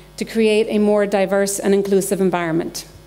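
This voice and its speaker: A woman with an American accent at a fairly quick pace, with noticeable background noise. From Ireland. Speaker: engineering manager, keynote speaker. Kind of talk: keynote speech. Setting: stage with audience.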